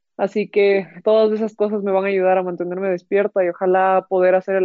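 A woman of medium pitch at a very fast pace, in a monotone, flat delivery. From Ecuador, Quito. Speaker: professional golfer. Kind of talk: interview.

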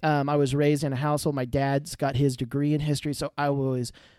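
With a Texan accent, a man talks very fast in a dark, mellow tone, recorded very cleanly against a silent background. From central Texas. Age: 30s. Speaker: podcast host. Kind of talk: casual chat. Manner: hesitant, many fillers.

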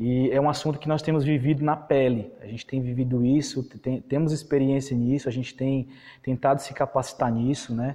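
This man's voice is dark and mellow, pitched in the middle range, and delivered at a moderate pace. His intonation stays flat and monotone. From Brazil, Piauí (Parnaíba). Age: 20s. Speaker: evangelist, ministry founder. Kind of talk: sermon-style teaching. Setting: online live stream.

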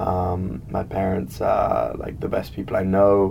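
In a southern British accent, a man talks at a fairly slow pace with a fairly low pitch and ordinary pitch variation over noticeable background noise. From England. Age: young. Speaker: college student. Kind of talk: interview.

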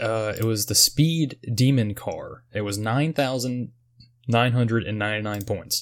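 A man talks fairly slowly in a normal speaking voice, his medium pitch showing ordinary variation, on a very clean recording with a silent background. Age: 30s. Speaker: video game podcast host. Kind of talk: casual chat.

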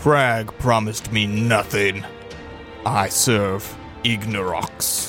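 With clear music in the background, a man puts on a character voice, fairly low in pitch, speaking at a very slow pace. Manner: menacing.

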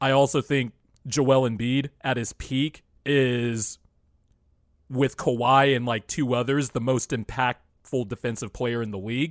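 A man with a plain, everyday voice speaks at a medium pitch and a fairly slow pace, with fairly even intonation. The very clean recording has a silent background and a dry, close sound with no echo. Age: 20s. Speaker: basketball podcast co-host. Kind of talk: casual chat.

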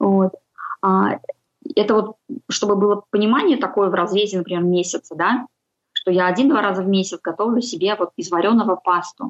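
At a fairly quick pace, a woman of medium pitch and ordinary pitch variation speaks with long, frequent pauses, the sound dry and close with no echo. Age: 40s. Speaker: homemaker and freelancer on a healthy-eating journey. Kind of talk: casual interview.

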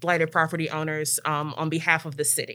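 Someone with an American accent speaks very fast in a bright, sharp tone on a very clean recording with a silent background. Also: woman. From Maryland, near Washington DC. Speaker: city planner and program manager at a neighborhood nonprofit. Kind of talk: casual interview chat. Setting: studio.

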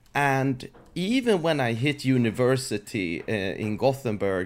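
In a very clean recording with a silent background, a man with a Swedish accent speaks at a medium pitch. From Sweden. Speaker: software company founder. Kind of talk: casual interview.

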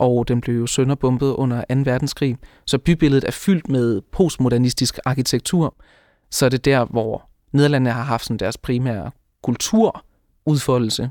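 A man's normal speaking voice at medium pitch and a fairly slow pace, with fairly even intonation, in a very clean recording with a silent background and a dry, close sound with no echo. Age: 20s. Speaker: law student. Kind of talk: interview.

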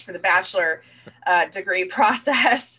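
A woman's bright, sharp tone comes with an American accent. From Florida. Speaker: marketing executive. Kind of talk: casual interview.

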